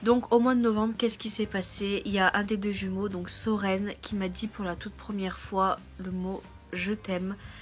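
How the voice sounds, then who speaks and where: Music plays in the background as a woman speaks at medium pitch and a moderate pace. Her intonation is monotone and flat, with hardly any pauses. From France. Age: 20s. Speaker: au pair vlogger. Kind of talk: casual vlog.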